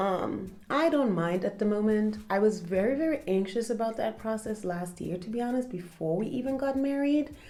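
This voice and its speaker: Speaking with a German accent, this voice has lively intonation and hardly any pauses. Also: woman, fairly high pitch for a woman, moderate pace. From Germany. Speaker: content creator. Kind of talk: casual chat. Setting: at home.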